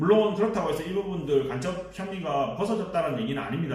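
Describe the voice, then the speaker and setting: Audible room echo and noticeable background noise surround a man. He speaks at a very fast pace with lively intonation. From Busan, South Korea. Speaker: political commentator, YouTuber. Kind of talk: political commentary monologue. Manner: hesitant, many fillers.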